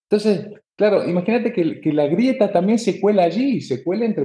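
A man's dark, mellow tone at a fairly quick pace. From Argentina, Tucumán (north). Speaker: political analyst. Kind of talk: interview.

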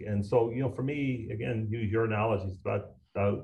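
Somewhat breathy and at a medium pitch, a man with a Newfoundland accent speaks at a fairly quick pace with ordinary pitch variation. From Newfoundland, Canada. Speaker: recycling business owner. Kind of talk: interview conversation. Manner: drops H's.

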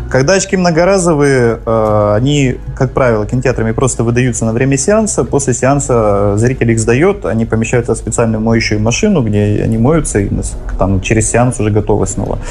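Against noticeable background noise and audible room echo, a man speaks at a moderate pace and medium pitch with ordinary pitch variation and very even loudness. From Vladivostok, Russian Far East. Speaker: cinema co-owner. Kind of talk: radio talk show interview.

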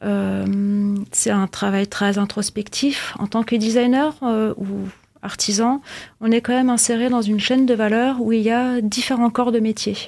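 A woman speaks at a fairly slow pace. Her fairly high voice stays monotone and flat. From Austria (Vienna). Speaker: fashion designer and artisan. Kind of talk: interview. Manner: hesitant.

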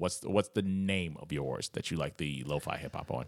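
A man's voice with vocal fry, at a fairly quick pace. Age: 30s. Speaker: podcast host. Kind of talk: casual chat.

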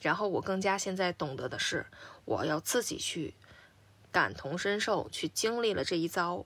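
A woman with a normal speaking voice talks at medium pitch and a moderate pace with lively intonation, in a very clean recording with a silent background. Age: 30s. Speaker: podcast co-host. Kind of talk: casual chat.

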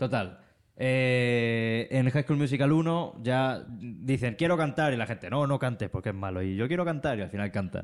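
A man talks in a normal speaking voice at medium pitch with ordinary pitch variation and a moderate pace. The recording is very clean, with a silent background. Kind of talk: casual chat, livestream. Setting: live stream with chat.

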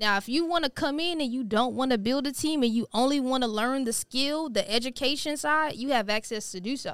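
A woman speaks at a fairly quick pace with hardly any pauses, her high pitch showing ordinary variation, in a very clean recording with a silent background. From Houston, Texas (Missouri City). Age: 30s. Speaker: financial educator. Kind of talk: casual interview.

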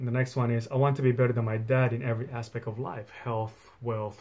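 A man speaks at a very fast pace in a medium pitch, somewhat breathy, with monotone, flat intonation. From migrated to Australia at 12 from a non-English-speaking country. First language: not English. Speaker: podcast host, affiliate marketer. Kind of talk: solo podcast monologue. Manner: halting, many fillers.

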